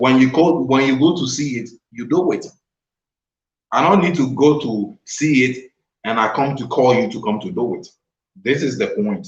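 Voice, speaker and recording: This man's delivery is somewhat breathy, with ordinary pitch variation. He keeps a moderate pace but leaves long, frequent pauses. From Ghana. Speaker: vlogger. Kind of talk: casual chat.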